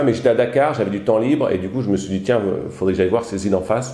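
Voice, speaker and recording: A man's fairly low voice with a dark, mellow tone and audible room echo. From southern France, Alpes-de-Haute-Provence. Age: 40s. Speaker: hotel owner and trekking guide. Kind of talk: casual interview. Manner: hesitant, many fillers.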